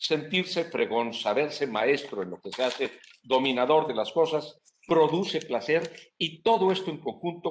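Pitched fairly high, a man's voice moves at a fairly slow pace. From Mexico. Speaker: tax lawyer. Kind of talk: interview on anti-corruption and tax law. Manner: formal.

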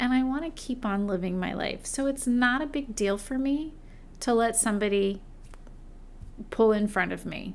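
Pausing long and often at a moderate pace, a woman with a fairly high pitch talks in a room with audible echo. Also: ordinary pitch variation. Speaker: podcast host and schoolteacher. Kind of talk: casual monologue.

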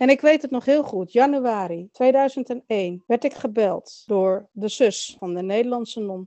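Using an ordinary speaking voice, a woman talks at a fairly slow pace with a fairly high pitch and ordinary pitch variation. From Netherlands. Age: 40s. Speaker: adoptee sharing her story. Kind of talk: interview testimony.

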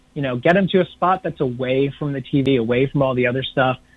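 Speaking in a plain, everyday voice with an American accent, a man has a fairly high pitch and ordinary pitch variation. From New York City area. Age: 40s. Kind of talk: interview.

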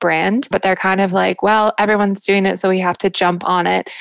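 In a plain, everyday voice, a woman with an American accent speaks at medium pitch with fairly even intonation, recorded dry and close with no echo. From US South, Jacksonville, Florida. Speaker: brand founder. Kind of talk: interview.

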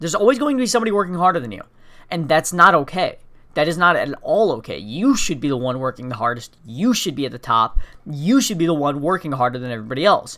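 A very fast, high-pitched man's voice with a bright, sharp tone and very wide pitch swings. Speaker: podcast host. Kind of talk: motivational monologue. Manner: high energy.

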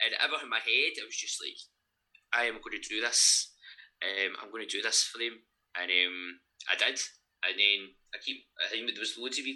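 A man with a Lanarkshire accent at a fairly quick pace. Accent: Scottish (Lanarkshire). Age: 30s. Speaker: gym owner and online coach. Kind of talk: casual interview.

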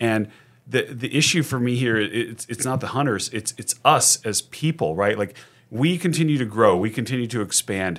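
A man talks at a moderate pace with a medium pitch. He has a plain, everyday voice with lively intonation. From Sacramento, California. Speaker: contract lobbyist. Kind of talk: casual interview.

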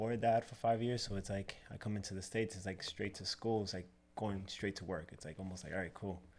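A man speaks at a fairly quick pace with a fairly low pitch and fairly even intonation. It is an ordinary speaking voice. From Dominican Republic, raised in New York City. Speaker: barber and business owner. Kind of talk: casual interview.

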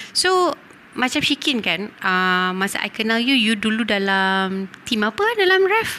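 Over noticeable background noise, a woman talks at a very slow pace with very wide pitch swings and very even loudness. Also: fairly high pitch for a woman. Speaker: podcast host. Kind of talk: casual chat.

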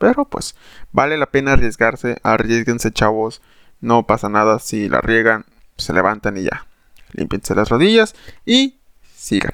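A man speaks with a Mexican accent in an animated tone, with ordinary pitch variation and long, frequent pauses. The sound is dry and close with no echo, on a very clean recording with a silent background. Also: medium pitch for a man, fairly slow pace. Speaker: podcast host. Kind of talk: casual monologue.

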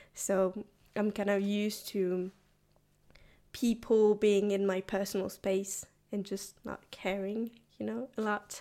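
A woman with a French accent speaks at a very slow pace, with long, frequent pauses. Her intonation stays monotone and flat. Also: medium pitch for a woman. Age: 20s. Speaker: university student. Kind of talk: casual interview.

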